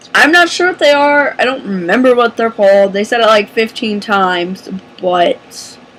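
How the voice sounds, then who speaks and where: A woman's fairly high voice, full of lively intonation, rises over noticeable background noise. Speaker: movie reviewer. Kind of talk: casual chat. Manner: animated.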